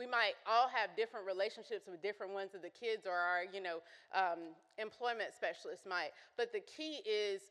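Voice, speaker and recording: A woman speaks loudly at a medium pitch and a moderate pace. Her tone is bright and sharp, with fairly even intonation. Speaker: consultant and youth program presenter. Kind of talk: conference presentation. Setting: conference breakout session with audience.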